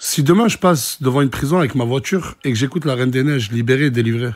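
Against a quiet background, the words come at a very fast pace. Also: man. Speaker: social media influencer. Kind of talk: casual vlog rant commentary. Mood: indignant, incredulous. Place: home room. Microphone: phone near.

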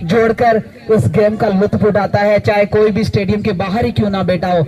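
There is light background noise as a man talks at a moderate pace, high in pitch with ordinary pitch variation. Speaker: interviewer. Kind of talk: interview questions. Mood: respectful, warm. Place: open country. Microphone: handheld.

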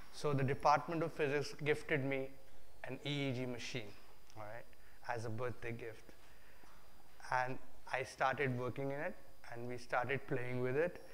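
A man speaks at a moderate pace with fairly even intonation, leaving long, frequent pauses. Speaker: guest lecturer. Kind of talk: lecture. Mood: relaxed, humorous storytelling. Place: hall.

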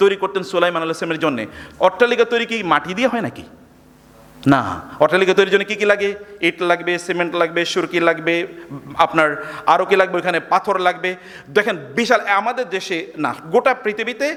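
A high-pitched man with ordinary pitch variation amid noticeable background noise. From Bangladesh, Chandpur. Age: 50s. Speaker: Islamic preacher and professor. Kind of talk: lecture. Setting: university hall with audience.

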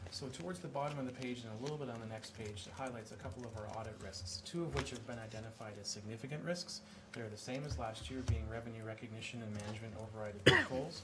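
Over loud background noise, a man talks at a very fast pace with ordinary pitch variation. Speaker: external auditor presenting to council. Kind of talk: formal presentation. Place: hall. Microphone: podium.

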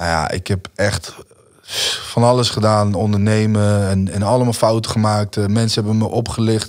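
Delivered at a moderate pace with fairly even intonation, this voice sits against a quiet background. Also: man, fairly low pitch for a man. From Netherlands. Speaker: musician; podcast guest. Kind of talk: casual interview. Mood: relaxed, reflective storytelling. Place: studio. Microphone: studio mic.

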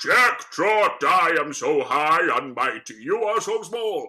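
A man uses a booming, put-on character voice at a fairly slow pace. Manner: boastful, domineering.

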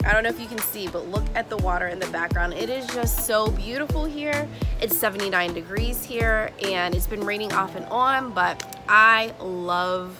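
Over clear background music, a woman speaks at a moderate pace with hardly any pauses. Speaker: craft vlogger. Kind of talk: casual vlog chat. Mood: cheerful, relaxed. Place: garden. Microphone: phone near.

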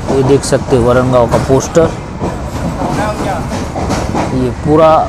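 Speech with ordinary pitch variation moves at a very slow pace beneath loud background noise. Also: man. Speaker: travel vlogger. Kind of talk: casual vlog commentary. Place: train. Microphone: phone near.

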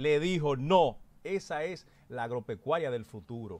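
The speaker has a Dominican accent and lively intonation. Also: man. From Dominican Republic, Constanza; Dominican Republic. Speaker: political commentator. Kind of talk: panel commentary. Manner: emphatic, oratorical. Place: studio. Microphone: studio mic.

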